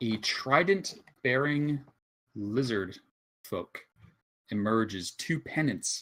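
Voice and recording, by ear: Someone reads aloud in a natural voice. Nothing stirs in the quiet background.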